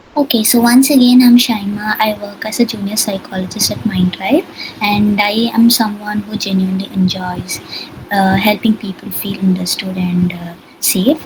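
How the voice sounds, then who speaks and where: A soft-spoken woman talks at a moderate pace and medium pitch with ordinary pitch variation. Noticeable background noise is audible. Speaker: psychologist leading a workshop. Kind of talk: online workshop. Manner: hesitant, many fillers. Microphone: too quiet at first.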